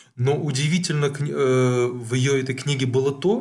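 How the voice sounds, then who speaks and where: This man's voice sits at a fairly high pitch. It comes across as somewhat breathy. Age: 40s. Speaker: psychologist podcast co-host. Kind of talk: casual chat.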